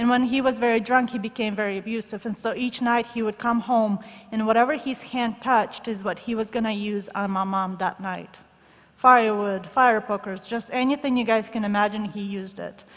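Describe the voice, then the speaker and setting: A woman with a Russian accent talks at a fairly quick pace in a fairly high pitch, with fairly even intonation. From former Soviet Union. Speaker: shoebox gift recipient speaker. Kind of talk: testimony.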